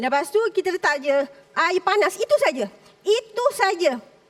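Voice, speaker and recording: A woman speaks with very wide swings in pitch over noticeable background noise. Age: 40s. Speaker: food entrepreneur contestant. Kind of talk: pitch to judges on reality show. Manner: halting.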